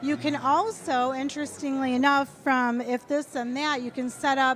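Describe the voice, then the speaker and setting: Background noise is noticeable as a woman speaks. Her voice is high and her pace fairly slow. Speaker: product demonstrator. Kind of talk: live product demo. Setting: retail store live event. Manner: animated.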